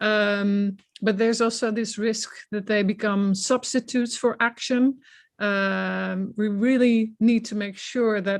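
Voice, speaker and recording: A woman's medium-pitched, monotone, flat voice against a quiet background. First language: not English. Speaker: science policy researcher. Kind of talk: panel discussion. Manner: hesitant, many fillers and repetitions.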